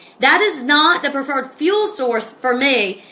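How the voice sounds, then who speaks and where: A woman speaks in a raised, projected voice. Her pitch is high and her tone bright and sharp. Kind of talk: informal talk to camera. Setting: Facebook live on an iPad. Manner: animated.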